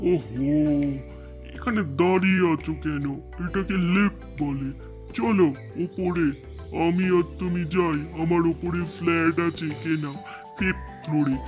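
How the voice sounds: A man's cartoonish character voice at a fairly slow pace, with clear music in the background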